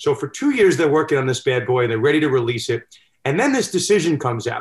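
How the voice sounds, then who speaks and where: A man's fairly high-pitched, somewhat breathy voice with ordinary pitch variation. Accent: American. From New York, Westchester County. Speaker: sports law commentator and litigator. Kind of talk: casual chat.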